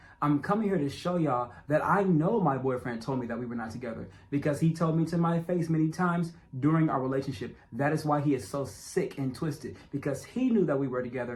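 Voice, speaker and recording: Somewhat breathy and fairly high-pitched, a man races along at a very fast pace with hardly any pauses and ordinary pitch variation. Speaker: documentary narrator. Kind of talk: personal testimony.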